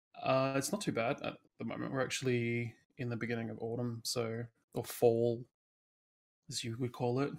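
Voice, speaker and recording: Speaking quietly with an Australian accent, a man keeps a moderate pace, a medium pitch and fairly even intonation, with long, frequent pauses. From Perth, Western Australia. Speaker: gaming community member. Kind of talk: casual interview.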